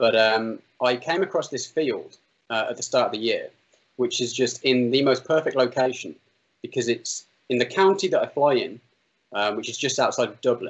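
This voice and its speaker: This man speaks with an English Midlands accent. His pace is moderate. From English Midlands, Solihull near Birmingham. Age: 30s. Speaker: drone pilot and video maker. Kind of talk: interview.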